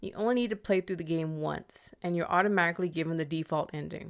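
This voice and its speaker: In a very clean recording with a silent background, a woman speaks at a very fast pace in a fairly low pitch with ordinary pitch variation. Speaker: video game reviewer. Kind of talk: game review voice-over.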